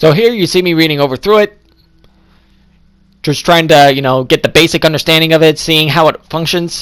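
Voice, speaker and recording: A man speaks at a fairly quick pace with a fairly high pitch. His pitch variation is ordinary, and he takes long, frequent pauses. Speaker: gaming youtuber. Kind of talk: gameplay commentary. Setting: recorded voiceover. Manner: fast; casual.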